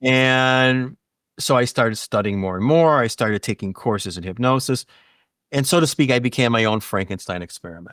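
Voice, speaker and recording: In an unremarkable speaking voice, a man talks fairly quickly at medium pitch with ordinary pitch variation, in a dry, close sound with no echo on a very clean recording with a silent background. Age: 60s. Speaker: hypnotist. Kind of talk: casual chat.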